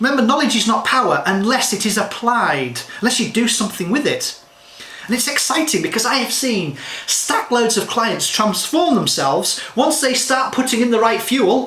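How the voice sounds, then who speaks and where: A man with an extremely high pitch speaks in a raised, projected voice and an animated tone, his loudness very even and his pitch varying in an ordinary way, with audible room echo and noticeable background noise. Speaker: health and nutrition advisor. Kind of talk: direct-to-camera talk. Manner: fast.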